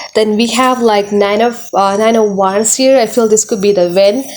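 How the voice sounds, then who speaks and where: Noticeable noise sits behind a speaker with a non-native accent who talks fairly slowly. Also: woman. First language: not English. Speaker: tarot reader. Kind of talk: tarot reading monologue. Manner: halting, many fillers and repetitions.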